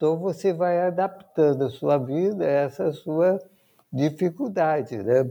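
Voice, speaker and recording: Speaking at a fairly slow pace, a man with a dark, mellow tone keeps ordinary pitch variation and very even loudness. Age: 60s. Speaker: physician and patient advocate. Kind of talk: interview. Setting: remote recording.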